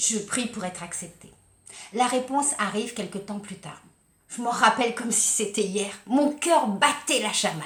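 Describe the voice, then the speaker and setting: With audible room echo, this voice moves through very wide pitch swings at a very slow pace. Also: woman. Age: 60s. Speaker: life coach and kinesiology practitioner. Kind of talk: personal testimony vlog. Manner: animated.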